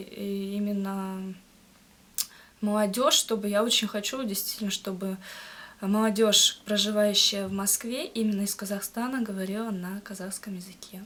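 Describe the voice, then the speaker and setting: Speaking at medium pitch, a woman delivers her words with monotone, flat intonation. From Kazakhstan, Akmola region. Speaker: language learner, student. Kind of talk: interview. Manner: halting, many hesitations.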